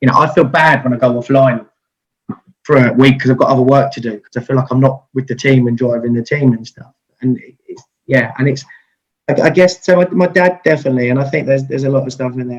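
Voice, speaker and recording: A man's somewhat breathy, medium-pitched voice in a southeast English accent, at a very fast pace with fairly even intonation and big swings in loudness. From Kent, England. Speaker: IT business owner and radio DJ. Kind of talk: interview answer. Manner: fast-talking.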